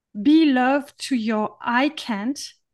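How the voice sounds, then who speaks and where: Against a quiet background, a woman with a French accent speaks at a high pitch with ordinary pitch variation. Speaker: podcast host.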